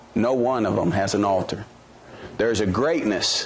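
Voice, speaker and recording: A man speaks at a moderate pace with fairly low pitch and ordinary pitch variation. Noticeable background noise is present. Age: 30s. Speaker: preacher. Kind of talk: sermon. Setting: church.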